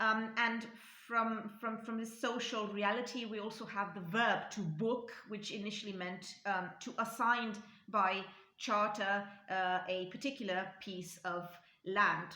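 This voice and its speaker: Audible room echo surrounds a woman with a Romanian accent and a bright, sharp tone. Her fairly high pitch stays on fairly even intonation at a fairly slow pace. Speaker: linguistics YouTuber. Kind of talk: educational talk. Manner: halting, many fillers.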